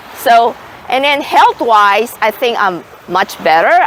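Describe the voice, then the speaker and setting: The speech moves at a fairly slow pace with very wide pitch swings. Noticeable background noise sits behind it. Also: woman. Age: 60s. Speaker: retired nurse, vlogger. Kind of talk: casual vlog talk. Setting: outdoors at the beach.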